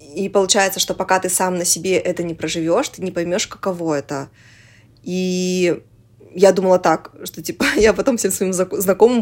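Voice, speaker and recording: Fairly quick speech from a woman at a medium pitch. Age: 20s. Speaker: podcast producer, mother. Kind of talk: casual interview chat. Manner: animated, filler-heavy.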